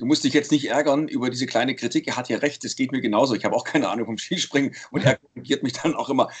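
A man talks at a very fast pace with hardly any pauses. His voice is fairly high, with fairly even intonation. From Saxony, eastern Germany (Leipzig). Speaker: sports commentator and podcast host. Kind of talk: casual chat.

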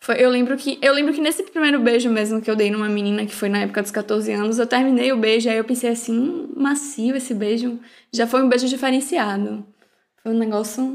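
A woman speaks fairly quickly in a high voice. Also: ordinary pitch variation. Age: 20s. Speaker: podcast host. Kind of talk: casual chat.

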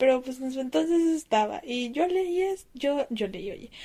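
In a Mexican accent, a woman with a high pitch speaks at a very slow pace, her voice making very wide pitch swings. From Mexico. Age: 20s. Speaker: listener sending audio message. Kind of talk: recorded voice message.

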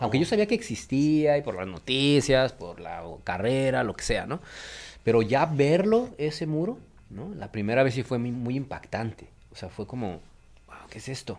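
A man's pitch swings very widely, captured in a very clean recording over a silent background. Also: medium pitch for a man, moderate pace, big swings in loudness. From Mexico City. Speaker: migration researcher. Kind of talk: radio interview.

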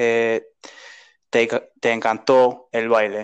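Someone speaks with an English accent over a quiet background. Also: man. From United States. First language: English (speaking Spanish). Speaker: podcast host. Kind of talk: interview. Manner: halting.

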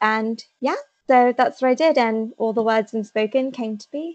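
At a moderate pace, a woman speaks at a fairly high pitch with fairly even intonation. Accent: English Midlands. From England, Leicester. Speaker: novelist. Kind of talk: interview.

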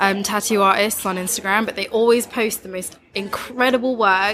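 With an East Midlands accent, a woman speaks at a moderate pace and medium pitch over noticeable background noise. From East Midlands, England. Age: 20s. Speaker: tattoo artist. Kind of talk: casual chat.

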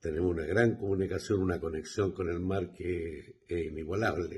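A man with a very deep, low pitch talks at a fairly slow pace, sounding somewhat breathy. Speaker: guest's father. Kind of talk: recorded message.

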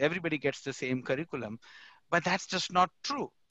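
With an Indian accent, a man of fairly high pitch speaks in a dry, close sound with no echo and a quiet background. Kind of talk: panel discussion.

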